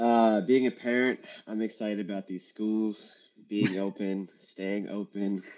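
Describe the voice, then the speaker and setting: A man speaks with a dark, mellow tone and a monotone, flat intonation. His pace is fairly slow. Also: fairly low pitch for a man. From Atlanta, Georgia. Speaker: venture capital investor. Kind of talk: panel discussion.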